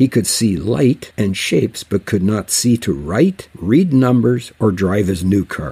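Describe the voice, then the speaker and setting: A man's medium-pitched voice has a dark, mellow tone and a somewhat breathy quality. His pitch moves in very wide swings. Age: 70s. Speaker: Bible teacher. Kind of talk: religious radio talk.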